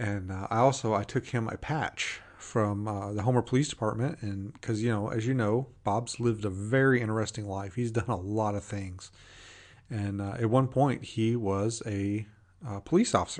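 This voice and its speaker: Fairly even intonation against a quiet background. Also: man, fairly low pitch for a man. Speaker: podcast host. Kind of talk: casual podcast monologue. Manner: fast; casual, with many fillers.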